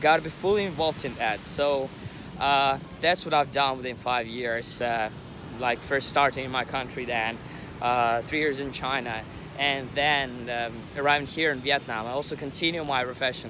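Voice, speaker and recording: Over noticeable background noise, a man with a non-native accent speaks at medium pitch and a moderate pace, keeping his intonation fairly even. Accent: non-native English, pronunciation mistakes. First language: not English. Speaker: English teacher, vlogger. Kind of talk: vlog introduction. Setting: outdoors by the sea. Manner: halting, many fillers.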